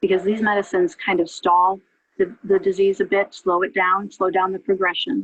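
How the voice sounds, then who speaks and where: A woman speaks in a plain, everyday voice at medium pitch. She keeps a moderate pace with ordinary pitch variation. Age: 60s. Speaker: patient with multiple sclerosis giving testimony. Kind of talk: testimony. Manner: conversational with frequent fillers.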